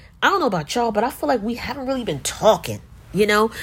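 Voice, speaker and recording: A woman with a medium pitch speaks in an animated tone with vocal fry and very wide pitch swings. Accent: American. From US, New Jersey (Newark). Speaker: podcast host and coffee entrepreneur. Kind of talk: casual monologue.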